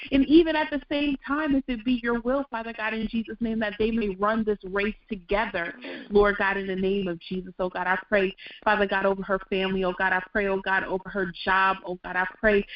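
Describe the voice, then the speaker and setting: A woman speaks in an ordinary speaking voice at medium pitch. Her pace is moderate, with ordinary pitch variation. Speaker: scripture reader, prayer participant. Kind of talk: scripture reading and prayer.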